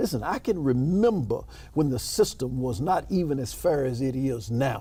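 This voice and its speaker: With a Memphis accent, a man talks at a moderate pace in a medium pitch, his somewhat breathy voice dark and mellow in tone, with lively intonation. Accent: Southern US (Memphis). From US South, Memphis, Tennessee. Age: 60s. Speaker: state senator, politician. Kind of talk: interview.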